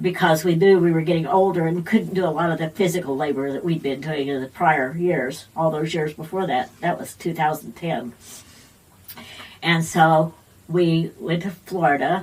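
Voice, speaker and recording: A woman talks at a moderate pace with a fairly low pitch and fairly even intonation. Noticeable background noise is present. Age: 70s. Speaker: retired missionary. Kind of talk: interview answer.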